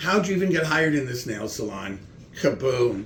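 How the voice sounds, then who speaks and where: In a room with audible echo, a man talks at a moderate pace and medium pitch. His somewhat breathy voice swings very widely in pitch. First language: German. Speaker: comedian. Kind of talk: casual chat with comedy bits.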